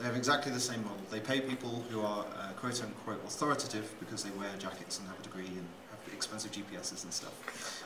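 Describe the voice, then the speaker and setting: Very fast speech comes from a man whose pitch varies in an ordinary way. Behind him, background noise is noticeable. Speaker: conference speaker. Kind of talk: presentation talk. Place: hall. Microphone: pa.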